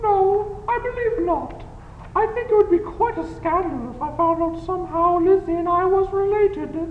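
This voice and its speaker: A woman's put-on character voice at an extremely high pitch, with slight echo and clear background noise. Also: moderate pace. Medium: audio drama.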